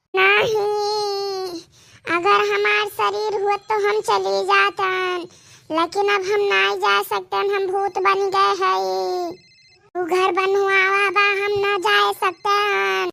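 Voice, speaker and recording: In a cartoonish character voice, a female-sounding speaker talks at a very slow pace with an extremely high pitch for a woman. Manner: insistent, repetitive.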